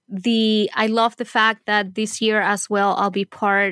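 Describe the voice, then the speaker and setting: A woman talks in a Spanish accent. The sound is very clean and dry, close with no echo, over a silent background. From Venezuela. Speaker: scrapbooking artist and teacher. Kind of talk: casual interview.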